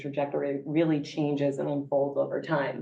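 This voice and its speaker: A woman speaks with a New York accent. Room echo is audible. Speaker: gerontology professor. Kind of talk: conference presentation.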